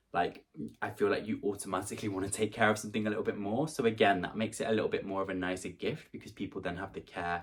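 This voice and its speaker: The speech comes at a very fast pace in a British accent. Pitch variation is ordinary. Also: man. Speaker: YouTuber. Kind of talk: vlog gift guide. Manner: casual, chatty.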